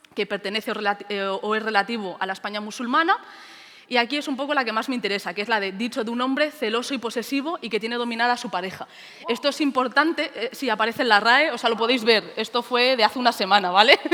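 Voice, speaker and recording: With noticeable background noise, a woman talks at a very fast pace in a fairly high pitch, her pitch varying in an ordinary way. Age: 20s. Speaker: teacher. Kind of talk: conference talk.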